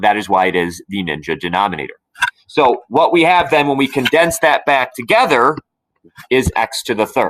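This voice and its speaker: A medium-pitched man's voice with vocal fry, in a dry, close sound with no echo. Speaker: math teacher. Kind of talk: tutorial.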